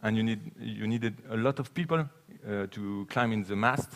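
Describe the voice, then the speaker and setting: A man speaks with a French accent at a medium pitch. There is noticeable background noise. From France. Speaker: sailing cargo ship advocate. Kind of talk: conference talk and Q&A. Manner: halting.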